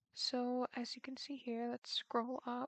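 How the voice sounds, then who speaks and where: Soft-spoken and high-pitched, a woman talks at a fairly slow pace, the sound dry and close with no echo. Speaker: student programmer. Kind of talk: tutorial.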